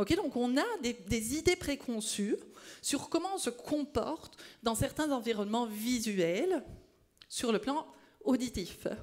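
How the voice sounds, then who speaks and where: A loud woman with a high pitch speaks very slowly, her pitch swinging very widely, with long, frequent pauses. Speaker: speech-language pathology researcher. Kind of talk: conference talk. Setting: stage with audience.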